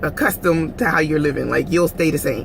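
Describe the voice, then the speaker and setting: A woman speaks in an animated tone with an American accent over noticeable background noise. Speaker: vlogger. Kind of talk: casual vlog monologue.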